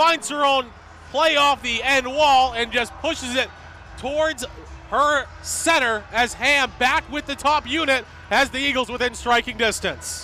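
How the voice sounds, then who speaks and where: Music plays in the background as a man speaks in a raised, projected voice. His pitch is extremely high. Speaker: sports play-by-play announcer. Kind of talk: live sports play-by-play commentary. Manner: fast, energetic.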